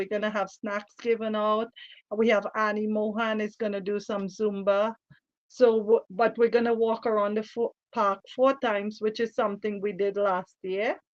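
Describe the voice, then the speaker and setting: Fairly high-pitched woman's voice, monotone and flat in intonation, with a dry, close sound and no echo. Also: moderate pace. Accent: Trinidadian. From Trinidad. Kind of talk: radio interview.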